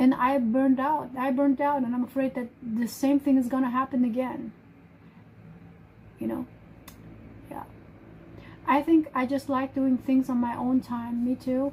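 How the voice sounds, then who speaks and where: A woman speaks at a high pitch and a moderate pace with monotone, flat intonation. Long, frequent pauses break her speech over noticeable background noise. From Germany. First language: German. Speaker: live streamer. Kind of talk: casual chat. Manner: halting.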